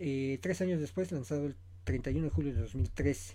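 At a moderate pace, a man with a dark, mellow, somewhat breathy tone lets his pitch swing very widely. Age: 40s. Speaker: podcast host, film commentator. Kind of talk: solo podcast commentary. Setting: home studio, self-produced.

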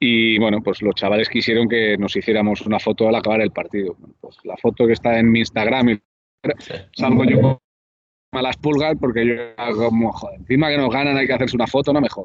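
With an ordinary speaking voice, a man talks at a fairly quick pace and medium pitch, his intonation fairly even but his loudness swinging widely. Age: 30s. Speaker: basketball commentator. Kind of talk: casual interview. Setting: cafe.

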